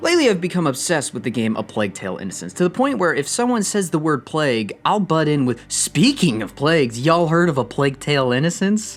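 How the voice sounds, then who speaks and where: A man's fairly high voice at a very fast pace, with very wide pitch swings and hardly any pauses. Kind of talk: video essay narration. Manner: mumbling at times; natural speaking voice.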